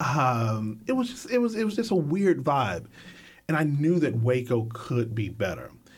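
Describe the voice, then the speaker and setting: A man with an American accent speaks at a moderate pace, somewhat breathy. His medium pitch swings very widely. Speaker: filmmaker. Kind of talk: casual interview. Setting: studio.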